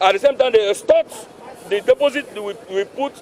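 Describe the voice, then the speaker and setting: A man with a Nigerian accent at a very fast pace, in a dry sound with no echo over light background noise. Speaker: freight forwarder association official. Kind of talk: street interview. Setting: outdoors. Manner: animated. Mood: aggrieved, protesting. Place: street. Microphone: handheld.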